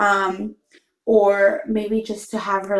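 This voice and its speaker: A woman speaks against a quiet background, with audible echo in the room. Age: 20s. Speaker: mom vlogger. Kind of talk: casual talk to camera. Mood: relaxed, soft-spoken. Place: home room. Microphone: phone near.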